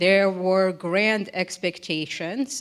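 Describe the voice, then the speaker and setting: A woman speaks very slowly in a Russian accent. Her pitch is fairly low and her intonation fairly even. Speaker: think tank military analyst. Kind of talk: panel discussion.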